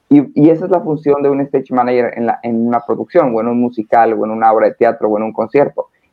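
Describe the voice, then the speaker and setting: The speaker goes at a very fast pace with hardly any pauses and ordinary pitch variation. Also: man, medium pitch for a man. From northern Mexico, Hermosillo, Sonora. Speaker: stage manager. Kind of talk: casual interview.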